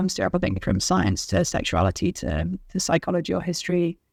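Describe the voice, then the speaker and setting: Over a very clean recording with a silent background, a woman with a British accent, medium pitch and vocal fry speaks at a fairly quick pace. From England, London. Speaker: author. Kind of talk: interview.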